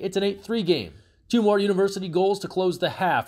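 An energetic man at a fairly quick pace. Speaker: sports commentator. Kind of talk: sports highlights narration, play-by-play recap. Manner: brisk, energetic, rapid-fire rundown of goals and scores; polished, even-paced, scripted delivery.

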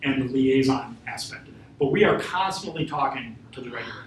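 A man talks at a fairly quick pace with a fairly high pitch and ordinary pitch variation. Audible room echo and light background noise surround him. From northern Wisconsin. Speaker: FBI special agent; guest. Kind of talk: invited talk. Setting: room with live audience. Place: classroom. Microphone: camera far.

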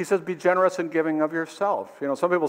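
A man at a fairly high pitch and a fast pace

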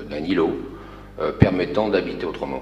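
A man speaks at a fairly low pitch, with light background noise and audible echo in the room. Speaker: architect. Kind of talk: project presentation. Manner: halting. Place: hall.

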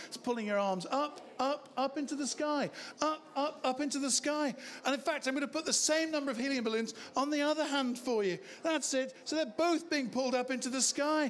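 Over light background noise, a man talks fairly quickly in a high voice. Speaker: stage hypnotist. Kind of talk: hypnotic induction patter for a live comedy show. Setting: stage with audience. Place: bar. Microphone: handheld.

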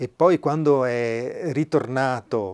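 A man speaks with a strong Venetian accent. The background is quiet. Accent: Venetian Italian, strong. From Veneto, Italy. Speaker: flautist and musician; interview guest. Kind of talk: casual interview chat; conversational interview chat. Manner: halting, hesitant. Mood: warm, anecdotal. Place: home room. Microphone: lapel.

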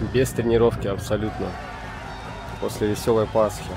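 Noticeable background noise sits behind the voice. Its intonation stays flat and monotone. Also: man, fairly low pitch for a man, moderate pace. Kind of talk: casual gameplay commentary. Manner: casual, profane.

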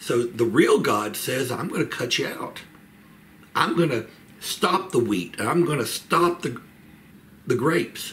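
A man at a very slow pace, with light background noise. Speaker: church Bible study teacher. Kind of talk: Bible study lecture. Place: home room. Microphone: webcam.

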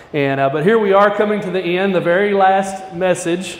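Speaking at a moderate pace with fairly even intonation, a man is heard with audible room echo. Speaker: guest preacher. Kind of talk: sermon. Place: church.

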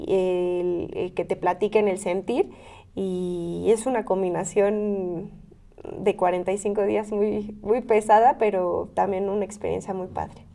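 A woman speaks very slowly in a dark, mellow tone. Her intonation stays fairly even. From Mexico, Querétaro (Ezequiel Montes); Querétaro, Mexico. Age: 20s. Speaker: local politician. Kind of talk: interview. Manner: hesitant with repeated fillers. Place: studio. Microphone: lapel.

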